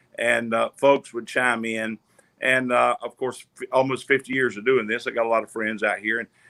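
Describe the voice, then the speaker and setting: A bright, sharp tone in a Southern US accent, flat and monotone. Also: man, medium pitch for a man, moderate pace. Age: 60s. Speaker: gospel singer and online minister. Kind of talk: casual chat.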